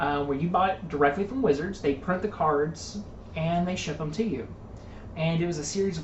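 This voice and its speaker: A woman speaks at a moderate pace in a very deep, low voice with ordinary pitch variation. Audible room echo and noticeable background noise fill the recording. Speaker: tabletop card game commentator. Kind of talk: casual chat.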